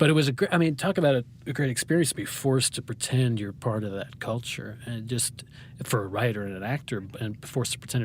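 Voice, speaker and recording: Speaking with an American accent, a man uses a medium, somewhat breathy pitch with ordinary pitch variation. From New Hampshire, US. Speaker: playwright and poet. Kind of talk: interview. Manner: fast, talkative; halting, many false starts.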